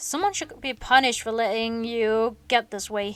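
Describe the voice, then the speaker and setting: A woman growls in a put-on character voice at a fairly high pitch. She keeps a moderate pace and fairly even intonation. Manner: growling.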